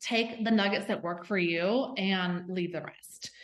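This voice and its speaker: Ordinary pitch variation from a woman with a Southern US accent. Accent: Southern US twang. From US South. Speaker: health and fitness coach. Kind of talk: podcast interview. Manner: enthusiastic, casual.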